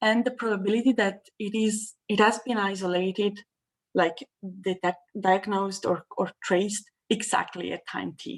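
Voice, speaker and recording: A woman with an ordinary speaking voice, at a medium pitch and moderate pace with fairly even intonation. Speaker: mathematics researcher. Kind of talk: lecture.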